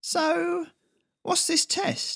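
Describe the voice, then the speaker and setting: This man puts on a squeaky character voice pitched extremely high for a man. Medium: read story. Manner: mumbling, resigned.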